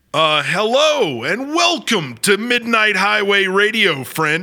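A man's raised, projected voice, high in pitch, bright and sharp, theatrical and playful in tone, with very wide pitch swings. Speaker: radio host. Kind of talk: scripted horror-comedy radio show, ghost story host. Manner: theatrical, spooky-playful showman patter, announcer-like and over-the-top.

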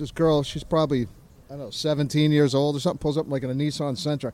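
Animated in tone, a man talks at a very fast pace with a fairly high pitch. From New Hampshire, US. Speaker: interview guest telling a travel story. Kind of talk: casual storytelling. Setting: on location in Merritt Island, Florida.

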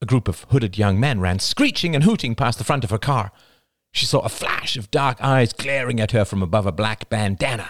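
A quiet background sits behind the clip. Someone is reading aloud in a natural voice.

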